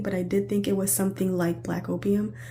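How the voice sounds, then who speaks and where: Room echo is audible as a woman speaks. Her pitch is fairly low, and her pace is moderate. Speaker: perfume reviewer. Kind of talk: product review vlog. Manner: casual, meandering.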